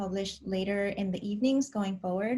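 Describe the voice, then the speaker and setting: A woman's very fast voice at a medium pitch, somewhat breathy, with a dark, mellow tone and fairly even intonation. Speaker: personality-type vlogger. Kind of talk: casual vlog monologue.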